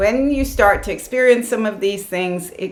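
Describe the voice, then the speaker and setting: Amid noticeable background noise and audible room echo, a woman with a medium pitch speaks at a moderate pace with lively intonation. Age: 60s. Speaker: yoga and wellness vlogger. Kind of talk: casual advice talk to camera. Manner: animated.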